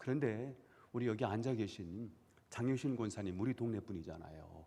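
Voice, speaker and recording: A man's voice carries a dark, mellow tone. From South Korea, Chungcheong (Dangjin/Seosan area). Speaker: pastor. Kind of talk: sermon. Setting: church.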